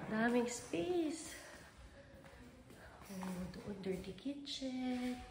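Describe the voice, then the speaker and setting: A woman's high-pitched voice at a very slow pace with long, frequent pauses, amid noticeable background noise and audible room echo. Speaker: travel vlogger. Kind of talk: vlog house tour. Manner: casual, animated. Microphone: voice quiet at times, then loud.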